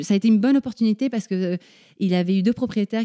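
A woman speaks at a fairly quick pace with a dark, mellow tone and ordinary pitch variation. The sound is dry and close with no echo, on a very clean recording with a silent background. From grew up abroad as diplomat's child (Paraguay, Argentina, Morocco, Belgium). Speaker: mother and travel companion of an adventurer. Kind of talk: interview conversation. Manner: hesitant, many fillers and repetitions.

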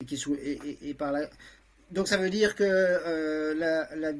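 On a very clean recording with a silent background, a man speaks with fairly even intonation at a fairly high pitch. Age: 60s. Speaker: lawyer, transhumanist association vice-president. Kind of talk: podcast discussion. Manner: halting, many hesitations.

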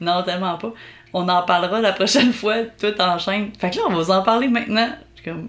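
At a fairly quick pace, a woman talks in an ordinary speaking voice at medium pitch, with ordinary pitch variation and big swings in loudness. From Quebec, Belle-Chasse area. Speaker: podcast host. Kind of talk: casual chat, playful banter. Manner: playful, laughs often.

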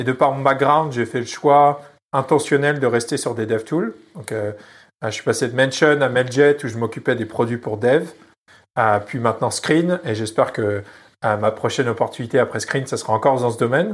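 Over a silent background in a very clean recording, a man talks at a moderate pace with ordinary pitch variation. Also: medium pitch for a man. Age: 30s. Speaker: product manager. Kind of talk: interview. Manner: hesitant.

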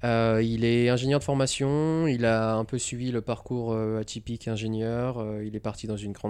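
This man has a plain, everyday voice at a medium pitch. He keeps a moderate pace and fairly even intonation. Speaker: retail buying and planning professional at an electric vehicle company. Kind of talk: casual interview chat. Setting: at home in Los Angeles. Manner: casual, filler words, mixes English.

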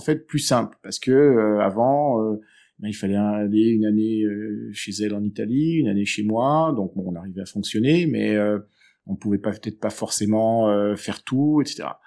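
Low-pitched for a man, his voice has a dark, mellow tone. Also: very clean recording, silent background. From southern France, Aix-en-Provence. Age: 40s. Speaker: divorced father. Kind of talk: interview. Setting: at home. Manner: halting, repeats words.

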